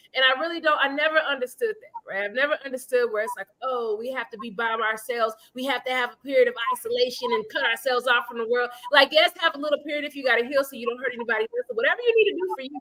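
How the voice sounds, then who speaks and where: In a raised, projected voice with an animated tone, the speaker races along at a very fast pace with hardly any pauses and big swings in loudness, the sound dry and close with no echo. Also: woman, high pitch for a woman, ordinary pitch variation. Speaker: podcast co-host. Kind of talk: casual chat.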